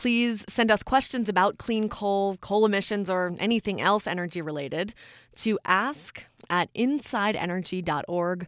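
A woman with an ordinary speaking voice at medium pitch, ordinary pitch variation, a moderate pace, and a very clean recording with a silent background. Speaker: podcast host. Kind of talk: scripted narration.

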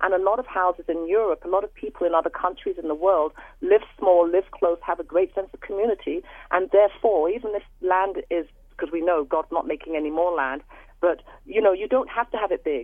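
Her medium-pitched voice shows ordinary pitch variation as this woman speaks at a fairly quick pace. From London, England. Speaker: caller. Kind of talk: radio call-in. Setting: phone call.

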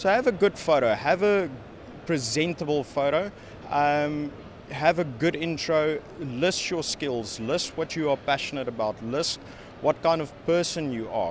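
Noticeable background noise surrounds a man speaking at a fairly slow pace. His fairly high pitch shows ordinary variation. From South Africa. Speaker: network engineer. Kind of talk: interview. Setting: conference venue. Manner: halting, many fillers.

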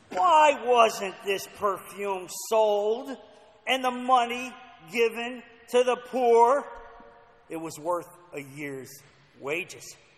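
A man in a put-on character voice, whiny and extremely high-pitched, speaks at a very slow pace with lively intonation, long, frequent pauses and big swings in loudness. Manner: whiny, scheming.

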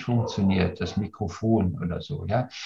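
His tone is dark and mellow. The man's voice carries some breathiness. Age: 60s. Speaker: leadership coach. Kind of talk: casual discussion. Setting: video call.

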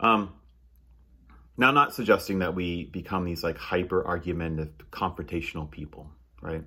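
With a bright, sharp tone and a very deep, low pitch, a man speaks with long, frequent pauses. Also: ordinary pitch variation, moderate pace. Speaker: pastor. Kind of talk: sermon. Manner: halting, many fillers.

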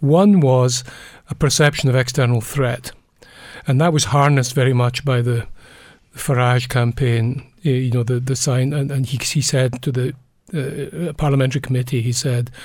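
A man speaks at a moderate pace in a medium-pitched, somewhat breathy voice with fairly even intonation. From Scotland. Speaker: psychology professor emeritus. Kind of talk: interview. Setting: studio.

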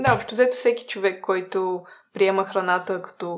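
This is a woman speaking. Her pitch is medium. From small town in Bulgaria. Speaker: food-waste startup co-founder. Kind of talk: interview. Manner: hesitant, many filler sounds.

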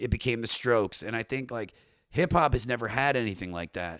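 With a Baltimore accent, a man talks at a fairly quick pace and a medium pitch. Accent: Baltimore twang. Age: 30s. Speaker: comedian and podcaster. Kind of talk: casual chat.

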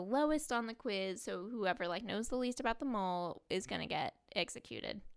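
A woman uses a normal speaking voice at a moderate pace. Her pitch is fairly high, with lively intonation. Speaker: podcast co-host recapping reality TV. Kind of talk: casual recap chat.

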